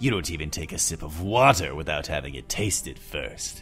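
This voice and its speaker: Lively intonation carries a menacing tone while clear music plays in the background. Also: man. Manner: cold, contemptuous, menacing.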